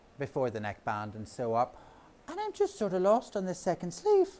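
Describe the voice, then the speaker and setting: A man with a Northern Irish accent speaks at a moderate pace in an animated tone. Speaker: knitting author and speaker. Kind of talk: talk to a live audience. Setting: stage with audience.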